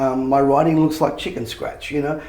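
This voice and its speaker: An Australian accent comes from a man speaking with monotone, flat intonation and vocal fry, with audible room echo around him. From Australia, Sydney (Bankstown). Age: 60s. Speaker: motivational speaker and author. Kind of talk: interview. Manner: fast.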